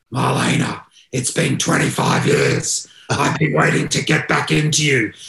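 A man uses a put-on character voice, raspy and sinister with a menacing tone. His pitch sits fairly high, and he speaks at a fairly slow pace. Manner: sinister, menacing.

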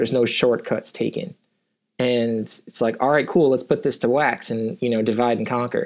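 A man speaks at a moderate pace. He has an ordinary speaking voice at a medium pitch. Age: 30s. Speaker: indie band musician. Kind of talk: casual interview chat. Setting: rented recording studio, remote interview. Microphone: good microphone, local recording.

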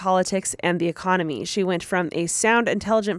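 A plain read-aloud delivery

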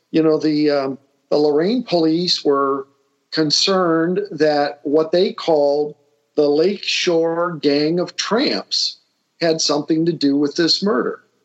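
The man talks with a Northern Ohio accent at a fairly slow pace. His pitch is fairly high. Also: very even loudness. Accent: Midwestern American (Northern Ohio). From Lorain, Ohio. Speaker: retired IT executive, local history enthusiast. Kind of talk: interview conversation. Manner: halting, many fillers.

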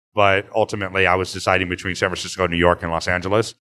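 Speaking at a very fast pace, a man with an American accent and a fairly low pitch keeps a monotone, flat intonation. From Northern California. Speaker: chef and restaurateur. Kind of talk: casual interview.

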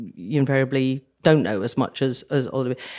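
Speaking at a moderate pace with a British accent, a woman uses a very deep, low pitch and ordinary pitch variation. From southern Africa (Zambia, Nigeria). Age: 60s. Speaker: war correspondent. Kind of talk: interview.

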